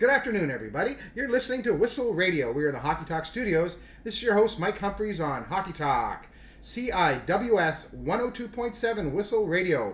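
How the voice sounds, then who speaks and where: Amid noticeable background noise, a man with a high pitch sounds upbeat, using lively intonation at a moderate pace. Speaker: radio host of hockey show. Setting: radio studio. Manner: upbeat, polished, announcer-like.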